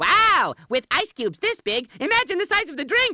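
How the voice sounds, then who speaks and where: An extremely high-pitched, cartoonish character voice. Its pitch swings very widely. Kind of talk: cartoon voice acting. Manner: excitable, goofy, exclamatory.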